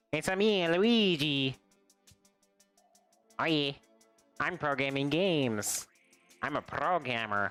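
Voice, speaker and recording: Faint music plays in the background as a man uses a put-on character voice at a fairly high pitch. He leaves long, frequent pauses. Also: fairly slow pace. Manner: silly, exaggerated.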